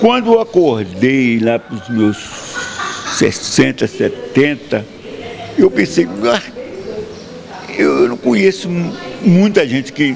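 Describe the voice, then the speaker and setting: A man's lively intonation at a very slow pace, over noticeable background noise. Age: 80s+. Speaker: author. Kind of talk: interview.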